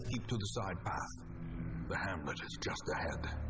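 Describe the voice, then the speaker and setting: A man speaks in a put-on character voice. Loud background noise fills the recording. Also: moderate pace. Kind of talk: gothic horror narration. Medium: game stream. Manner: grave, portentous.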